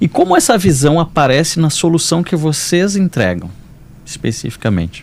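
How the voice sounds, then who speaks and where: At a moderate pace, a man speaks in a normal speaking voice, fairly high in pitch, with lively intonation and very even loudness. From Porto Alegre, southern Brazil. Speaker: podcast host, lawyer. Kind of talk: podcast interview.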